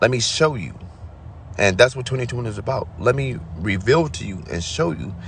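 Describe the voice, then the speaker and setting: A man speaks at a medium pitch and a fairly quick pace, his voice somewhat breathy. His intonation is lively, and the room echo is audible. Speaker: spiritual vlogger. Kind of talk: spiritual monologue.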